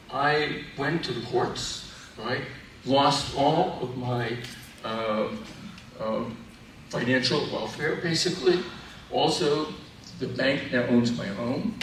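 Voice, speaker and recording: Amid noticeable background noise and audible room echo, a man talks at a very slow pace with long, frequent pauses. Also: medium pitch for a man, ordinary pitch variation. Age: 70s. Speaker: physician and professor of medicine. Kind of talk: formal presentation.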